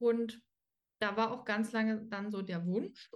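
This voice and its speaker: At a moderate pace, a woman speaks in a fairly high pitch with fairly even intonation. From Dresden, Saxony. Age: 20s. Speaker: dog trainer, former dog walker. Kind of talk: casual interview. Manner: hesitant, many fillers.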